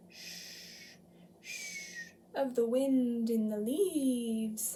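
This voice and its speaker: A woman does a put-on character voice at a high pitch. She speaks at a very slow pace. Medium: read story. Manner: slow, gentle.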